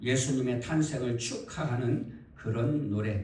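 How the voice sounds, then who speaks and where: A man at a very slow pace with lively intonation, amid noticeable background noise and audible room echo. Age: old. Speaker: pastor. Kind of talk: sermon.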